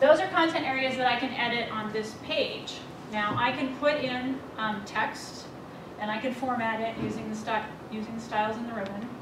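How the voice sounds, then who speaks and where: Amid noticeable background noise and audible room echo, a woman talks at a fairly high pitch with ordinary pitch variation. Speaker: project manager presenting software. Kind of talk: software demo presentation. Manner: fast.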